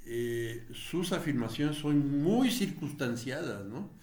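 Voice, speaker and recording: A somewhat breathy man's voice at a fairly high pitch, with ordinary pitch variation and audible room echo. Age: 70s. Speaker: political commentator, retired politician. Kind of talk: video commentary monologue. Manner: halting, many fillers.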